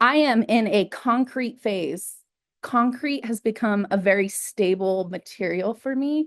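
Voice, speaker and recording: This is a woman with a normal speaking voice at medium pitch. Her pitch variation is ordinary, and the background is quiet. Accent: American. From New Mexico, US. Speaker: artist. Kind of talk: artist talk.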